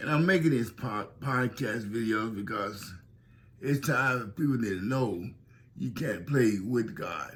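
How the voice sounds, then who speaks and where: Here a man speaks at a fairly slow pace with a somewhat breathy voice. His pitch is medium and varies in an ordinary way. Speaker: pastor. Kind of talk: testimony. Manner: slightly unusual, slurred-sounding speech.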